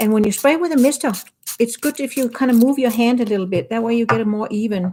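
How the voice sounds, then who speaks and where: With a Danish accent, a woman of fairly high pitch speaks at a fairly quick pace, using ordinary pitch variation. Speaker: watercolor artist and teacher. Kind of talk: painting demo livestream. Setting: home studio livestream. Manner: casual, relaxed.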